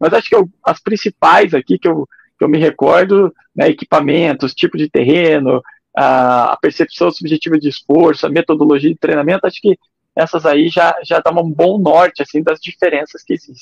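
An unremarkable speaking voice from a man, fairly high in pitch with ordinary pitch variation, at a moderate pace, with a dry, close sound and no echo. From Curitiba, Paraná, Brazil. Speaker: ultramarathon runner and trail running coach. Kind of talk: interview.

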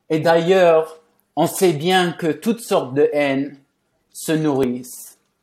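A man's fairly high voice with a non-native accent, ordinary pitch variation, a very slow pace and long, frequent pauses. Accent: foreign accent in French. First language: English (speaking French). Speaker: journalist and author. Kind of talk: conversational interview. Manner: halting.

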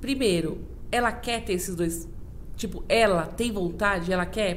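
In a room with audible echo and noticeable background noise, a woman talks at medium pitch with ordinary pitch variation. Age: 40s. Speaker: IT professional. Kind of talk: casual chat.

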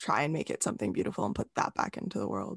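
A woman talks at a very fast pace with very wide pitch swings. Her voice has vocal fry. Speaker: podcast host. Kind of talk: podcast interview, scripted intro then casual conversation.

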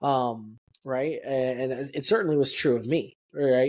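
A man speaks with an American accent. He has an unremarkable speaking voice. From El Paso, Texas. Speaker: podcast co-host. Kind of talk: casual chat, personal testimony.

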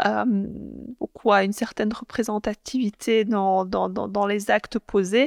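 A woman talks at a very slow pace with hardly any pauses, medium pitch, fairly even intonation and very even loudness, in a dry, close sound with no echo. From Belgium, Brussels (Molenbeek). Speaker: politician. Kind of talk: interview. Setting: parliament building. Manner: halting, many fillers.

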